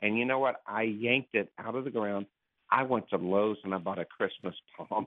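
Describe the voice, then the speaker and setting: This man has a plain, everyday voice, pitched fairly low. He speaks at a moderate pace with fairly even intonation. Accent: American. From Florida (Clearwater). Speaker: caller. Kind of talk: call-in question.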